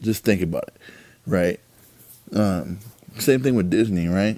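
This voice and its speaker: A man speaks at a moderate pace in a very deep, low pitch. His tone is dark and mellow. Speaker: podcast host. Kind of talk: casual monologue. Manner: casual, filler-heavy.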